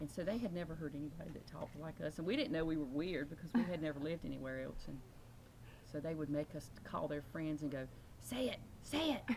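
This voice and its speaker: A woman with an American accent and a very deep, low pitch speaks at a very fast pace with ordinary pitch variation. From northeastern North Carolina, Northampton County. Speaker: interviewee on regional dialect. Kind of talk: casual interview talk.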